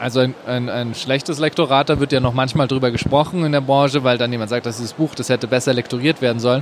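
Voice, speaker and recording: Very fast, monotone delivery with flat intonation and hardly any pauses, over noticeable background noise. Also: man. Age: 30s. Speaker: novelist. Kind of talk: interview. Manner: halting, many fillers.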